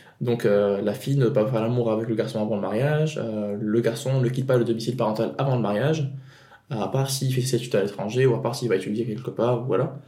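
Speaking at a very fast pace, a man with a medium pitch keeps his intonation fairly even amid noticeable background noise and audible room echo. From Tunisia. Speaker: podcast guest. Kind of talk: personal testimony. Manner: halting.

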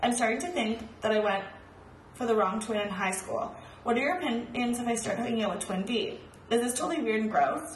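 The voice moves at a very fast pace over noticeable background noise. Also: woman. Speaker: podcast co-host. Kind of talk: casual chat.

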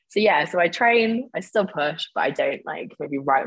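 A woman speaks at a moderate pace with a British accent, her pitch swinging very widely. The sound is dry and close, with no echo. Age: 30s. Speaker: online fitness coach and nutritionist, former bodybuilding competitor. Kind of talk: casual interview.

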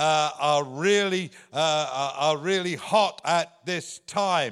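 In an English accent, a man speaks at a very slow pace. His pitch is high, with ordinary pitch variation. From England. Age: 70s. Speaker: visiting preacher. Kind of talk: sermon. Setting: church.

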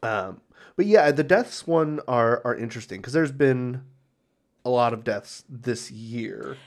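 With an unremarkable speaking voice, a man talks at a medium pitch and a fairly slow pace, using ordinary pitch variation. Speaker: podcast co-host and editor. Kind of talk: casual banter.

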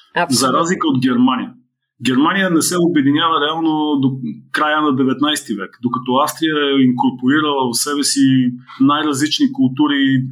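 Moderately paced, a man speaks with ordinary pitch variation. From Bulgaria, Blagoevgrad. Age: 50s. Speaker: marketing consultant and author. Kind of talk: interview. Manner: halting, with fillers.

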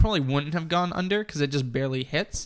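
Fairly high in pitch, a man speaks with a bright, sharp tone and ordinary pitch variation. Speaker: podcast co-host. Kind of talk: casual chat.

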